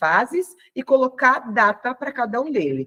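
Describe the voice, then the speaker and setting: A woman's bright, sharp voice with very wide pitch swings. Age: 40s. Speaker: health and weight-loss coach. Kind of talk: online class. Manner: casual, conversational.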